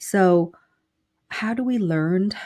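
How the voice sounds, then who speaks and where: A woman with a Vietnamese accent has a dark, mellow tone that is somewhat breathy. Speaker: business consultant and professor. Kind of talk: interview.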